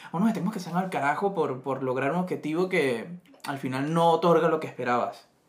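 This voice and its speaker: Using a normal speaking voice, a man talks at a fairly quick pace and fairly high pitch with ordinary pitch variation. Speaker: podcast co-host. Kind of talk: casual chat.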